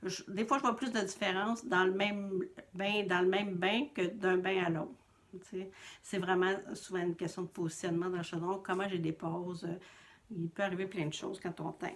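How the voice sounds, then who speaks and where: In a Quebec accent, a woman talks at a moderate pace. Her pitch is medium and her intonation fairly even. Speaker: knitting podcaster and yarn dyer. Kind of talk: casual vlog monologue.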